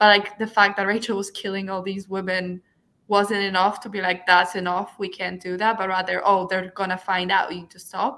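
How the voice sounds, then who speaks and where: Bright and sharp in tone, a woman with a non-native accent speaks at a medium pitch and a fairly quick pace. Her intonation stays monotone and flat while her loudness swings widely. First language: not English. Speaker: book club co-host. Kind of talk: casual book discussion.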